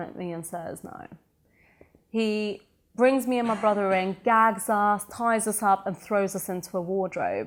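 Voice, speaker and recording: A woman with a British accent speaks at a medium pitch with fairly even intonation, on a very clean recording with a silent background. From Sweden, then England from age 13. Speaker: entrepreneur and motivational speaker. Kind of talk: interview.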